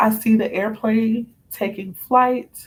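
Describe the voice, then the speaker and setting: A somewhat breathy woman speaks at a fairly high pitch with fairly even intonation. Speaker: spiritual card reader. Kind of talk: live stream reading. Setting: live stream at home, late night.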